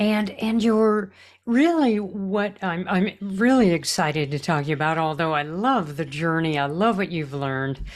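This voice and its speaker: On a very clean recording with a silent background, a woman speaks in an enthusiastic tone at a fairly slow pace with very wide pitch swings. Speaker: podcast host and life coach. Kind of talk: casual interview.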